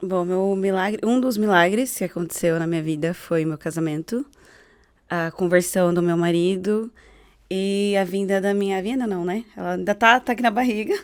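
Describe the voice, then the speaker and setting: A woman with a plain, everyday voice speaks at medium pitch and a moderate pace with fairly even intonation, on a very clean recording with a silent background. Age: 30s. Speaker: gospel singer. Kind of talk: testimony.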